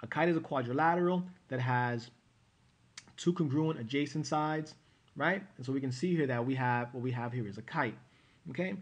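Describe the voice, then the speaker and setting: A man's medium-pitched voice with ordinary pitch variation at a fairly quick pace. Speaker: math teacher. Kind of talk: tutorial. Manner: fast; hesitant fillers.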